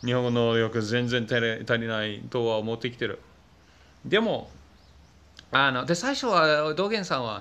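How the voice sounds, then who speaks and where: A man speaks with a non-native accent. His tone is bright and sharp. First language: not Japanese (speaking Japanese). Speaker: YouTuber. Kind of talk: vlog monologue. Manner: hesitant, many fillers. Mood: reflective, slightly frustrated. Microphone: phone near.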